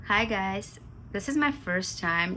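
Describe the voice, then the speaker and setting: A bright, sharp voice with an Armenian accent moves at a very slow pace. Audible room echo surrounds it. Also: woman. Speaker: vlogger. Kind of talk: casual vlog chat to camera. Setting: at home. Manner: halting, with pauses and fillers.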